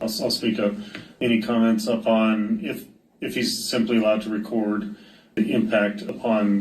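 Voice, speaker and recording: A man's fairly low voice at a moderate pace with audible room echo. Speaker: judge. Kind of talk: court hearing questioning. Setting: courtroom.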